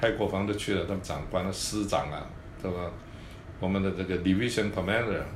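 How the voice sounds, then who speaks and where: A man speaks in a very deep, low voice with flat, monotone intonation. Room echo can be heard around him. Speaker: orthopedic surgeon. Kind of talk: interview. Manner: halting, many fillers and repetitions.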